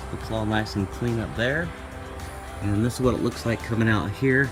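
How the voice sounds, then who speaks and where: A man is speaking. Music plays in the background. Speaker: off-road vehicle owner doing own install. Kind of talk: DIY how-to narration. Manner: fast.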